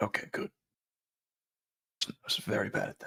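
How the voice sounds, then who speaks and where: A man does a raspy, put-on character voice at a moderate pace. The sound is dry and close, with no echo. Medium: actual play. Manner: blunt, rambling.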